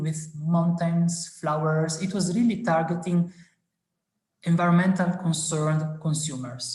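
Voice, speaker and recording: A speaker with a non-native accent talks at a fairly slow pace. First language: not English. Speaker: science communication speaker. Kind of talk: webinar presentation. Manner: halting with many fillers.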